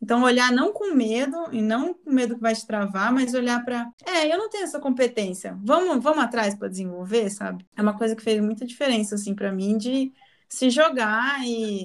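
A woman with a fairly high pitch and an unremarkable speaking voice, using ordinary pitch variation at a moderate pace. She hardly pauses, over a quiet background. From interior of São Paulo state, Brazil. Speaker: marketing agency executive. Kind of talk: casual interview.

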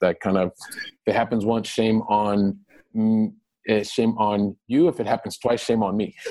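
Speaking at a fairly quick pace with a Midwestern American accent, a man has a fairly low pitch and a dark, mellow tone. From Ohio, US Midwest. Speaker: real estate investor. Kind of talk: interview.

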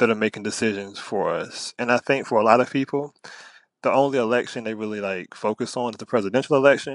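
At a fairly quick pace, a man with an American accent speaks at a medium pitch, the sound dry and close with no echo. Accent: Southern country, mostly contained. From Virginia, US South. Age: 20s. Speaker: high school English teacher. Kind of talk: casual interview.

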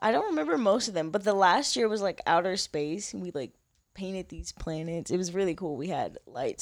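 A woman's normal speaking voice at medium pitch, with lively intonation, big swings in loudness and a fairly quick pace. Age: 20s. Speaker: model. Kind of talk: casual chat.

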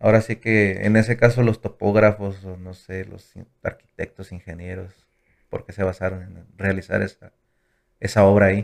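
On a very clean recording with a silent background, a man with a fairly low pitch speaks at a moderate pace in a flat monotone, his loudness swinging widely. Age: 20s. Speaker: business management engineer. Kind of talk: casual chat.

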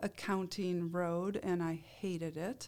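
An unremarkable speaking voice from a woman with an American accent, medium in pitch with fairly even intonation, on a very clean recording with a silent background. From Iowa. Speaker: nurse and healthcare leader. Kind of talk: interview.

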